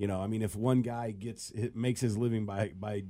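On a very clean recording with a silent background, a man with fairly low pitch and a dark, mellow tone speaks at a moderate pace. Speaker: sports talk panelist. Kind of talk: casual sports talk chat.

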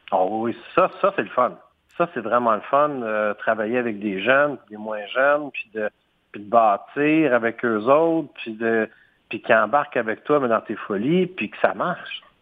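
A man with a Quebec accent speaks at a fairly slow pace with lively intonation. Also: medium pitch for a man. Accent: Québécois French. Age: 40s. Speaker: entrepreneur. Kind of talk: interview. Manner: hesitant, with fillers and repetitions.

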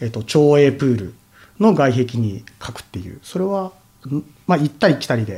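A man speaks at a fairly quick pace. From Tokyo (Nerima), Japan. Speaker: artist and painter. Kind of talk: casual interview.

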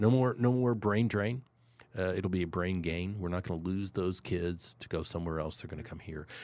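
A fairly quick pace with ordinary pitch variation, in a very clean recording with a silent background. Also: man, very deep, low pitch for a man. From Kansas City, Missouri, US Midwest. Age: 60s. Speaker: CEO of a historic landmark. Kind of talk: casual interview.

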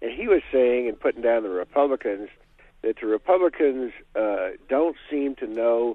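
With ordinary pitch variation, a man in a normal speaking voice holds a medium pitch at a moderate pace. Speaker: caller. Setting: phone call.

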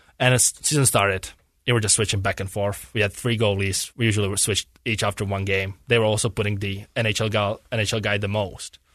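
A man's fairly low, flat monotone with a Czech accent, very fast and with hardly any pauses, against a quiet background. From Czech Republic, near Prague. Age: 20s. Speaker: professional hockey goalie. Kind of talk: casual interview. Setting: studio.

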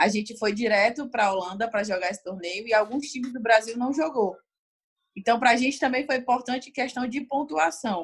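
A woman with an ordinary speaking voice talks at a fairly quick pace and a fairly high pitch, with ordinary pitch variation. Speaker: Olympic beach volleyball player. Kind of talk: interview.

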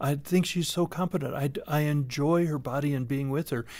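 A man's normal speaking voice, fairly high in pitch, at a moderate pace on a very clean recording with a silent background. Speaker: sex therapist. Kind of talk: radio interview.

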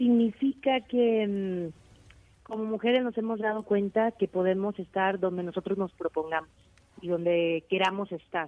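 Using an ordinary speaking voice, a woman of medium pitch talks at a fairly slow pace with ordinary pitch variation. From Mexico, Aguascalientes. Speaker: mountaineer. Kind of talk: interview. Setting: phone call.

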